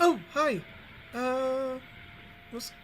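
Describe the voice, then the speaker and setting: A put-on character voice, female-sounding and high-pitched, over clear background noise. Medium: actual play. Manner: hesitant, mild.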